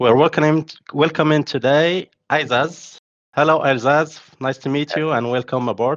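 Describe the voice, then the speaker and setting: Man in a Moroccan accent, fairly high in pitch, at a moderate pace with fairly even intonation, over a quiet background. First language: Moroccan Arabic. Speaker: podcast host. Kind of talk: podcast interview. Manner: halting.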